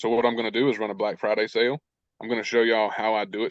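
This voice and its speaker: At medium pitch and a fairly quick pace, a man speaks with fairly even intonation in a dry, close sound with no echo. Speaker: online business coach. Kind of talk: live coaching webinar Q&A.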